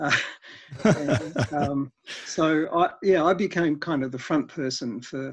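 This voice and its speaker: Over a quiet background, a man with an Australian accent talks at a fairly slow pace in a somewhat breathy voice with ordinary pitch variation. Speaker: energy efficiency expert; guest. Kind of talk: interview. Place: home room. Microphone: headset.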